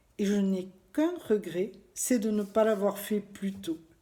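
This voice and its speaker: A woman with medium pitch and a dark, mellow tone speaks somewhat breathily at a very slow pace, her intonation lively. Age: 60s. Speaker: former nurse giving a client testimonial. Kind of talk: testimony.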